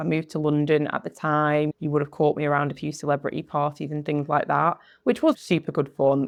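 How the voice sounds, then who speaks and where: A woman with a very deep, low voice and a northern English accent, talking at a fairly quick pace over a quiet background. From northwest England. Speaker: podcast host and coach. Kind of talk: personal storytelling monologue. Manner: conversational.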